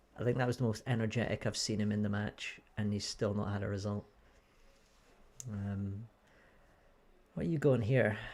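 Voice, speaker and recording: Recorded very cleanly against a silent background, the speaker has a Scottish accent, a moderate pace, fairly even intonation and long, frequent pauses. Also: man, fairly low pitch for a man. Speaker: snooker commentator. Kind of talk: live commentary. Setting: small commentary booth.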